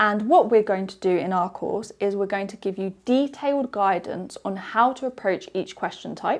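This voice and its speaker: With a British accent, a woman talks at a moderate pace, her pitch fairly high and ordinary in its variation. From UK. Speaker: English teacher. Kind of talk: webinar presentation. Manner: clear, explanatory.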